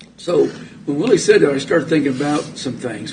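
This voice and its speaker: A fairly high-pitched man with an American accent at a fairly quick pace, over noticeable background noise. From US, military family moving around. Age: 70s. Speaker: local official, former city administrator. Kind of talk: public meeting discussion.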